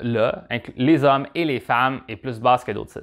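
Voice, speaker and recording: Quiet background, with a man speaking at a moderate pace. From Quebec. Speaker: dating advice vlogger. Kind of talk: advice monologue, answering viewer question. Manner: casual, conversational, with filler words. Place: studio. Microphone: lapel.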